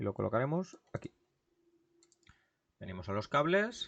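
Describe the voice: The tone is fairly bright, and the pace is moderate. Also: man.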